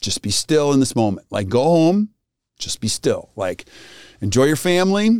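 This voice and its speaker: A man speaks at a moderate pace with lively intonation. The sound is dry and close with no echo, on a very clean recording with a silent background. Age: 50s. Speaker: dental practice coaching podcast host. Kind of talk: casual chat. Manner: animated.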